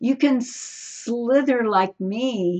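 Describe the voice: A woman puts on a character voice with a high pitch and a hissing sound.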